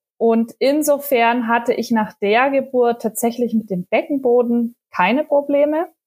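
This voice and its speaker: The recording has a dry, close sound with no echo. A woman speaks at a high pitch. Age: 30s. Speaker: mother of two sharing postpartum experience. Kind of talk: casual interview chat. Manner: hesitant, many filler sounds.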